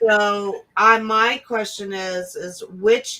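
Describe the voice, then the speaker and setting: A woman's voice at a medium pitch. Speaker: online show host. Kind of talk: casual chat.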